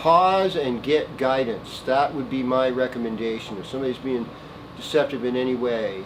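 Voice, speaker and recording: A man with an American accent speaks at a medium pitch with lively intonation. Room echo is audible, along with noticeable background noise. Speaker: astrologer. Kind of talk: weekly horoscope monologue. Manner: casual, meandering with many fillers.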